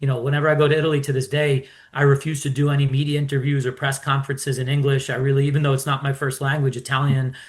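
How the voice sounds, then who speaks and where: A man with an American accent talks at a very fast pace in a fairly high, somewhat breathy voice. His intonation is flat and monotone and his loudness very even. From New York. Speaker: sports investor, club owner. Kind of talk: interview.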